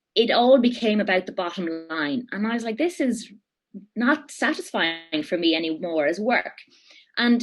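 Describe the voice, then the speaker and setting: This voice has an Irish accent and lively intonation. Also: woman. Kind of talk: interview answer. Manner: casual, animated.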